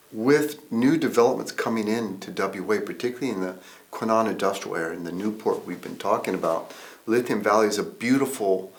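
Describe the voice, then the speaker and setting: With audible room echo, a man at a medium pitch and ordinary pitch variation speaks at a fairly quick pace, showing big swings in loudness. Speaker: environmental consultant. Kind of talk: interview. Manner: halting, many fillers.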